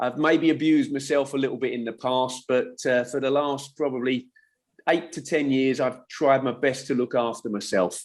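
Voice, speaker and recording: The recording is very clean, with a silent background. The speaker has a southern English accent. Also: man, medium pitch for a man, fairly even intonation, moderate pace. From England, west London (Middlesex). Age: 60s. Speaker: former footballer and football coach. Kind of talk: casual chat.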